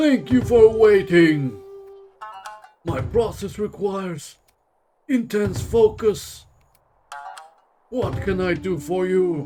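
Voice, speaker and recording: Delivered in a put-on character voice at a very slow pace, the speech has lively intonation and long, frequent pauses over faint background music. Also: man, high pitch for a man. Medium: game stream. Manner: measured, deliberate.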